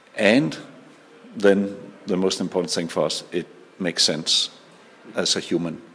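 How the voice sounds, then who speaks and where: In a Danish accent, a man speaks with a very deep, low pitch. His delivery is monotone and flat at a fairly slow pace. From Denmark. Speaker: social entrepreneur. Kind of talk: interview. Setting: conference.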